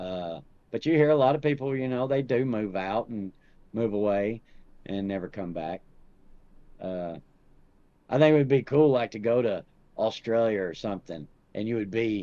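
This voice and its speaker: In a strong Southern US accent, the speaker has a dark, mellow tone and lively intonation. Long pauses come often. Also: man, medium pitch for a man. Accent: thick Southern drawl. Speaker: podcast guest. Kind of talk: casual chat.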